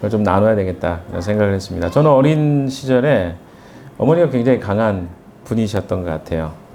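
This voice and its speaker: A man talks at a fairly quick pace in a fairly low voice with lively intonation, amid audible room echo and noticeable background noise. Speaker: pastor. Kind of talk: sermon. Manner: conversational, hesitant fillers.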